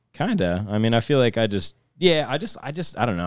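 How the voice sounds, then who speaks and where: A man talks with a Midwestern American accent. He goes at a very fast pace. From northeast Ohio, Youngstown area. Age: 30s. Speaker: skateboarder. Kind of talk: casual chat.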